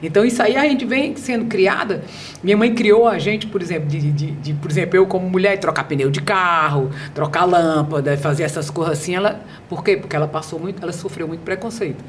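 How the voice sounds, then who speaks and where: Noticeable background noise and audible room echo surround this recording. A woman with a fairly low pitch talks at a fairly quick pace with lively intonation. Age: 60s. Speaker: behavioral speaker and author. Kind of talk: podcast interview. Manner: animated.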